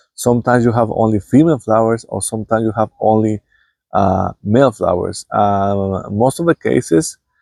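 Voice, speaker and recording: A man with a non-native accent speaks in a dark, mellow tone, the sound dry and close with no echo. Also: medium pitch for a man, ordinary pitch variation, moderate pace, quiet background. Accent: non-native English, self-noted. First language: Spanish. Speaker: gardening youtuber. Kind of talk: tutorial. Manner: halting, many fillers.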